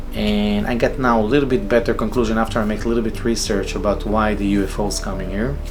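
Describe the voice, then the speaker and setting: A man speaks at a very fast pace with hardly any pauses. The recording has noticeable background noise and audible room echo. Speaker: solo vlogger. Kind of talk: casual monologue. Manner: halting, many fillers and repetitions; improvised.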